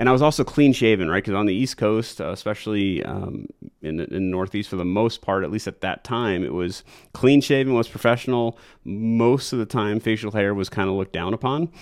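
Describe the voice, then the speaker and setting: A man with an American accent talks at a fairly quick pace in a plain, everyday voice. His pitch is fairly low, with ordinary variation. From New York. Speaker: real estate agent and podcast host. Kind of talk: casual solo talk. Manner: relaxed, many fillers.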